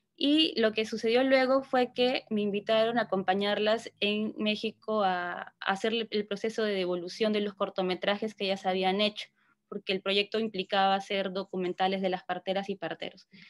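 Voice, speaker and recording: Against a quiet background, a woman speaks at a moderate pace with hardly any pauses. Her intonation is fairly even, and the sound is dry with no echo. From southern Peru (Ilo); southern Peru. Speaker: psychologist and cultural project leader; presenter. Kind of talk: workshop presentation. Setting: video call. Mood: reflective, warm. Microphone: video call.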